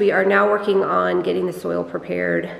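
A woman talks with ordinary pitch variation, and audible room echo can be heard. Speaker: homeowner vlogger. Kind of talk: casual vlog house tour. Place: empty room. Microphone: phone near.

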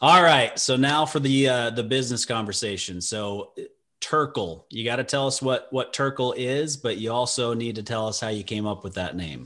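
Against a quiet background, a man with an American accent speaks at a moderate pace in a bright, sharp tone with ordinary pitch variation. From Utah. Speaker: radio show host, financial advisor. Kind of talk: interview. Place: office. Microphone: video call.

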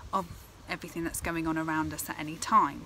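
A woman speaks at a fairly low pitch. The sound is dry with no echo, over light background noise. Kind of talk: tutorial. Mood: calm, gentle. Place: garden. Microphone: phone near.

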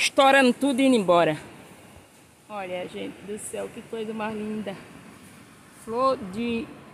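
There are long, frequent pauses in this dry recording with no echo and light background noise. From Brazilian Northeast, sertão. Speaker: rural video blogger. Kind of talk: casual vlog walkthrough. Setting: outdoors. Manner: animated. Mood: excited, amazed. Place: farm machine. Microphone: phone near.

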